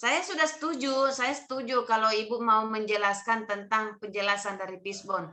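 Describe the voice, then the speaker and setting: Loud and stern, a woman speaks with lively intonation. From Bugis region, South Sulawesi. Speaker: training mentor. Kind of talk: online mentoring session. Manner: loud, may sound stern.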